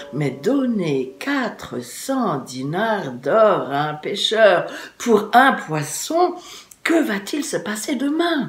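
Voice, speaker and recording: A woman uses a put-on, rumbling character voice, fairly high in pitch with very wide pitch swings, at a very slow pace. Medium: read story. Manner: grumbling, reproachful.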